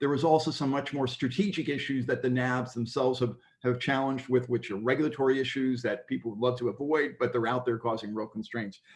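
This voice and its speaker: A man talks very fast at a medium pitch, with hardly any pauses. His pitch varies in an ordinary way. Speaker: workshop leader at impact investment conference. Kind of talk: conference report-back on video call.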